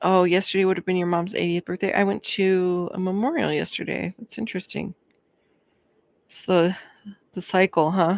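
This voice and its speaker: A woman with an American accent speaks at medium pitch and moderate pace, with fairly even intonation and big swings in loudness. Long, frequent pauses break her speech, and the sound is dry and close with no echo. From Colorado. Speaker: YouTube creator. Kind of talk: live stream chat. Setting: live stream. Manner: casual, chatty.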